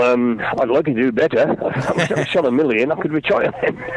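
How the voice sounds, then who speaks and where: Noticeable background noise runs through the clip. A man talks at a moderate pace over it. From English Midlands. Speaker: rock singer and author. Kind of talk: radio interview. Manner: halting.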